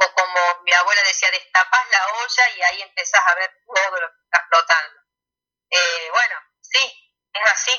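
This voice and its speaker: A woman's medium-pitched voice at a fairly slow pace, ordinary pitch variation and big swings in loudness. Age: 40s. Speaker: pediatrician and alternative therapist. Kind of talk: radio interview. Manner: hesitant, many fillers.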